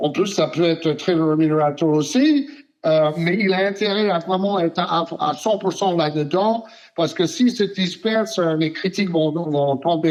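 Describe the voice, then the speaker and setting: Fairly slow speech from a man, fairly high in pitch with ordinary variation. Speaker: sports journalist. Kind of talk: interview answer. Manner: hesitant, many filler sounds.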